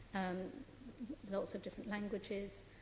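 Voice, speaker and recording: A soft-spoken woman talks with a British accent at a medium pitch and moderate pace. Her intonation is fairly even, with noticeable background noise. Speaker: nominee at a public confirmation hearing. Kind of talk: formal hearing answers. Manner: hesitant, many fillers.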